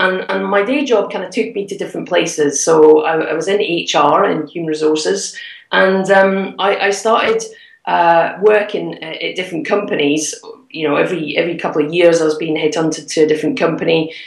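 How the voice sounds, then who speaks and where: At a fairly quick pace, a woman with a fairly low pitch talks with ordinary pitch variation over noticeable background noise. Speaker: property investor and mentor. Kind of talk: interview. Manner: animated.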